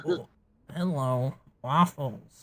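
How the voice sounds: Someone puts on a character voice pitched low to middle.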